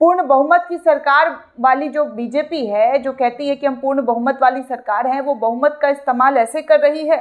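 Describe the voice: A woman speaks at a high pitch with ordinary pitch variation. She pauses only a few times. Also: moderate pace.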